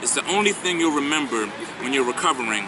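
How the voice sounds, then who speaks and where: Fairly high-pitched man with a Philadelphia accent amid noticeable background noise. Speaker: spoken word poet. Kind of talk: spoken word poetry performance.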